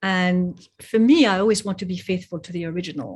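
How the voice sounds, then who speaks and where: On a very clean recording with a silent background, a woman with a French accent speaks in a somewhat breathy voice at a moderate pace, her pitch fairly low and her intonation fairly even. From Geneva, Switzerland and France. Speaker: poet and translator. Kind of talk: interview conversation. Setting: podcast.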